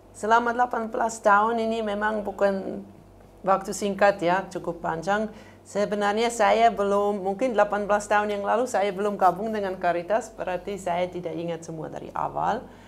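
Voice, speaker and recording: Medium-pitched speech from a woman with a non-native accent, fairly even intonation and a moderate pace. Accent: fluent Indonesian, non-native. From Switzerland. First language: not Indonesian (speaking Indonesian). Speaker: NGO program coordinator. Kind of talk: interview. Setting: studio. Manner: halting, with fillers.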